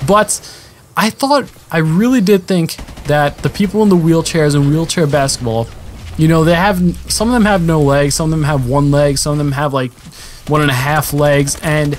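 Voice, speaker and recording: Against noticeable background noise, a man with a fairly high pitch speaks at a moderate pace, with ordinary pitch variation and very even loudness. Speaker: gaming commentator.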